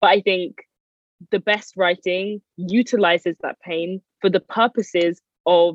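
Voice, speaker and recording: A woman with a London accent talks at medium pitch in a dry, close sound with no echo. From North London, Edmonton. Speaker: writer and PhD researcher. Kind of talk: interview.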